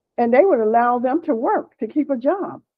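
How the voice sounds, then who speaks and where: With an American accent, a woman speaks at a high pitch with lively intonation. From Pennsylvania, US. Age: 70s. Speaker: activist and family historian. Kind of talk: casual chat.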